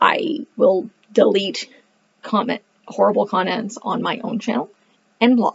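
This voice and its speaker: Speaking at a fairly slow pace with long, frequent pauses, a woman sounds somewhat breathy and uses ordinary pitch variation. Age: 30s. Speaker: homeschooling parent and book reviewer; book reviewer. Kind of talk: casual monologue to camera. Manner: animated. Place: home room. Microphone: webcam.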